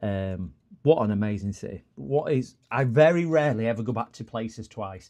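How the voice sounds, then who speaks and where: A man with a northern English accent speaks in a fairly low pitch and a dark, mellow tone. His intonation is lively, and the background is quiet. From northern England. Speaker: electronics repair streamer. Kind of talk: casual live stream chat. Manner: rambling, conversational.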